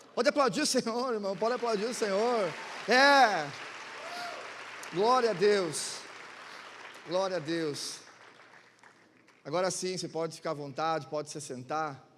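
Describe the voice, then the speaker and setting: With crowd noise behind him and audible room echo, a man talks at a fairly slow pace in a high pitch for a man, his intonation lively and broken by long, frequent pauses. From Santa Catarina, southern Brazil (Chapecó). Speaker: guest pastor. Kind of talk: sermon. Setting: church with congregation. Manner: animated.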